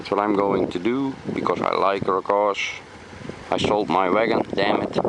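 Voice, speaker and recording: Speaking at a moderate pace with a Dutch accent, the voice comes through noticeable background noise. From Netherlands. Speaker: car enthusiast. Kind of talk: casual walkaround video. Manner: halting.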